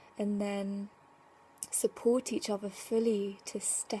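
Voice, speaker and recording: Her voice is somewhat breathy with a dark, mellow tone, as this woman speaks at a medium pitch with monotone, flat intonation. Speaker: spiritual vlogger. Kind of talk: casual vlog monologue. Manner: rambling with many fillers.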